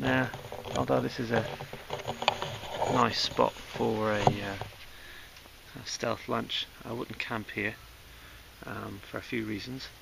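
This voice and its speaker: The voice is quiet and very slow, with long, frequent pauses and very wide pitch swings. Noticeable background noise is present. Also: man, fairly low pitch for a man. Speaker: hiking vlogger. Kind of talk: outdoor vlog commentary. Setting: outdoors on a mountain. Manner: quiet, kept-down voice; hesitant, many fillers.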